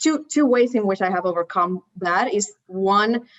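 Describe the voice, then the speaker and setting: Speaking in a Spanish accent at a fairly slow pace, a woman uses a fairly high pitch with ordinary pitch variation. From Puerto Rico. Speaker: landscape architect. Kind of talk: panel discussion. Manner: halting.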